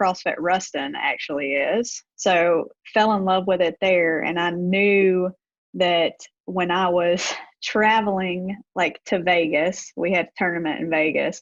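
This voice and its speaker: Dry and close with no echo, a woman's voice moves at a fairly slow pace with fairly even intonation in a Deep South accent. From US Deep South, Gulfport, Mississippi. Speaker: gym owner, former college basketball coach. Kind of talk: podcast interview.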